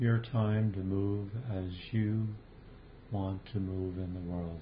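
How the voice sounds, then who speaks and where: A gentle, calm tone with fairly even intonation at a very slow pace, over noticeable background noise. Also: man. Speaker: meditation teacher. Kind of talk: guided meditation. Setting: video call. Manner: slow, calm, soothing with long pauses; gentle, invitational.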